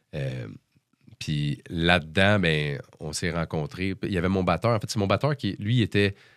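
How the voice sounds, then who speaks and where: A man with a Quebec accent, very deep and low in pitch, at a fairly slow pace with lively intonation. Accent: Québécois French. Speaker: musician. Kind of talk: casual interview chat. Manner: hesitant, many fillers.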